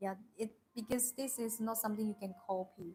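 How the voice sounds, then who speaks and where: With a Chinese accent, a woman speaks at a fairly slow pace in a dark, mellow tone. Her delivery is somewhat breathy, with monotone, flat intonation. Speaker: tea seller. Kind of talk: live stream product presentation. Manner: halting, many fillers.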